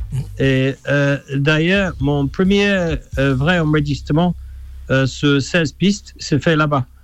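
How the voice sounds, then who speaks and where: With an English accent, a man speaks very slowly at a fairly high pitch, his pitch varying in an ordinary way and his loudness very even. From England. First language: English (speaking French). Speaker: musician. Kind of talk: radio interview.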